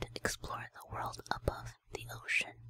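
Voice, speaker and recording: A woman is whispering at a fairly slow pace. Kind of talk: ASMR lore reading. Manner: whispered.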